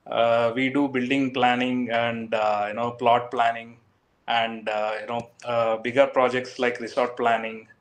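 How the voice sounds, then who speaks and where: At a fairly slow pace, a man speaks at a medium pitch in a monotone, flat intonation. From South India, Karnataka. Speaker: architecture firm executive. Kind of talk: interview. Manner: halting.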